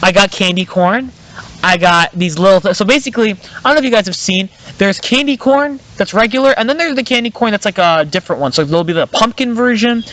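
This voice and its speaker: Very fast, high-pitched talk from a man over noticeable background noise. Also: lively intonation. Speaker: podcast host. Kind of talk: casual chat. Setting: outdoors in the woods. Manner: halting, filler-heavy.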